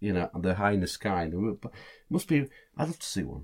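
A man with a Lincolnshire accent and very wide pitch swings. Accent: northern English (Lincolnshire). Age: 60s. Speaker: podcast co-host. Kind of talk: casual chat.

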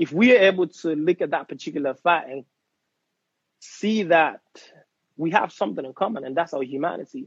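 A man with a high voice speaks at a fairly quick pace, with lively intonation, big swings in loudness, and long, frequent pauses. The sound is dry and close, with no echo. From Nigeria (Imo State, Igbo). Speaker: actor and fashion designer. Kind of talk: interview.

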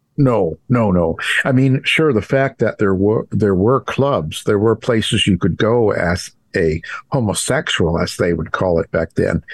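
A plain, everyday voice from a man, fairly low in pitch and fairly slow, with very even loudness and a dry, close sound with no echo over a quiet background. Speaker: true crime author and radio host. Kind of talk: interview conversation.

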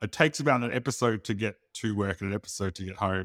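A man with an Australian accent talks at a very fast pace with a fairly low pitch. The recording is very clean and dry, with a silent background and no echo. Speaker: podcast co-host. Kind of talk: casual chat. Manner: fast talker.

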